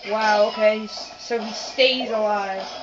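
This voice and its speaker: There is noticeable background noise. A woman's voice comes through it. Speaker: gamer. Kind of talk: let's play commentary. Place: home room. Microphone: phone near.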